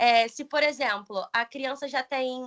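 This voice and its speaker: Against a quiet background, a woman speaks at a fairly slow pace in a raised, projected voice. Her high-pitched tone is bright and sharp. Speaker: pedagogy student and teacher. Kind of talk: presentation.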